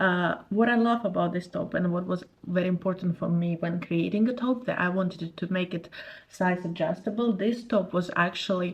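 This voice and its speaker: A woman with a non-native accent speaks at a medium pitch and moderate pace, somewhat breathy, with fairly even intonation. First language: not English. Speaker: crochet youtuber, former clothing brand owner. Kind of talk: tutorial. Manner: casual, slightly halting.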